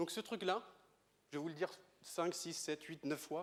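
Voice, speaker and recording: With a Breton accent, a man speaks in a high pitch. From Brittany, France. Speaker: astrophysicist. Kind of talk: lecture. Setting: stage with audience. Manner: fast.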